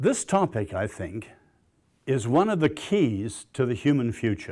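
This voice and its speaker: On a very clean recording with a silent background, a man with an English accent and a dark, mellow tone speaks at a fairly slow pace with very wide pitch swings. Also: medium pitch for a man. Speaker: lecturer, social scientist. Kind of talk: lecture. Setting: stage with audience.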